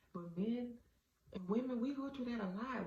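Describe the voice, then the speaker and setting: Audible room echo carries a woman's voice at a fairly quick pace with ordinary pitch variation. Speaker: vlogger. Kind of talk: casual monologue. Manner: halting.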